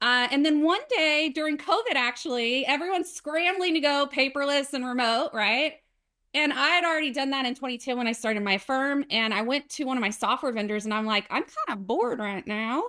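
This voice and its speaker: A woman's raised, projected voice, high-pitched and bright and sharp in tone, with a Southern US accent, lively intonation and a fairly quick pace, against a quiet background. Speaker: accountant and software founder. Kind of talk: casual interview.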